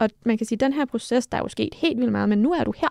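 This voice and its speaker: Against a quiet background, a woman with a dark, mellow tone and vocal fry speaks at a fairly quick pace, the sound dry with no echo. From Denmark. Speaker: mental coach and former judo athlete; podcast co-host. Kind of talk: casual chat. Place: studio. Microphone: studio mic.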